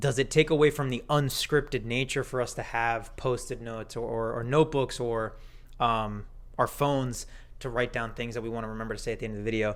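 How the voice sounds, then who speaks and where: A man speaks in a normal speaking voice at a medium pitch and a fairly quick pace, with fairly even intonation, on a very clean recording with a silent background. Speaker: podcast co-host. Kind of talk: casual chat.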